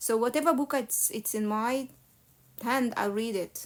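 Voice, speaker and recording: A woman with an Egyptian accent speaks at a high pitch with ordinary pitch variation. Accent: non-native English, Egyptian Arabic. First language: Arabic. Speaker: religious live streamer. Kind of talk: casual live Q&A. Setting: live stream.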